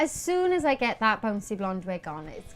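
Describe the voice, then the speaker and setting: Music plays in the background while the speaker keeps a moderate pace. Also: woman. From Wales. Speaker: musical theatre actress. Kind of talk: interview. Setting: backstage at a theatre. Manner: animated.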